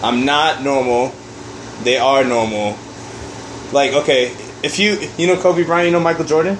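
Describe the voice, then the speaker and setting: A man talks at a fairly high pitch with ordinary variation. Long, frequent pauses break his speech, and there is noticeable background noise. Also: moderate pace, very even loudness. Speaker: podcast co-host. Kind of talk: casual banter among friends.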